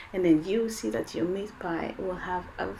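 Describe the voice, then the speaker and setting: Over noticeable background noise, a woman with a French accent speaks at a medium pitch in an animated tone with lively intonation. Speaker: cooking video host. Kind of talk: cooking tutorial.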